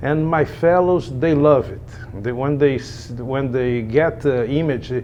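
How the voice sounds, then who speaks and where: A man with a Brazilian Portuguese accent at a fairly high pitch, fairly slow pace and ordinary pitch variation, over noticeable background noise. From Brazil, Rio de Janeiro. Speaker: echocardiographer. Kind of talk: interview. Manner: halting, many repetitions and fillers.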